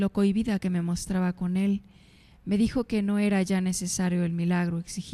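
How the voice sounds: A natural reading voice throughout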